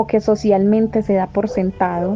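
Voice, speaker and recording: Over noticeable background noise, a woman with a fairly high pitch talks in a monotone, flat way. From Colombia. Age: 20s. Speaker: feminist activist. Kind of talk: personal testimony.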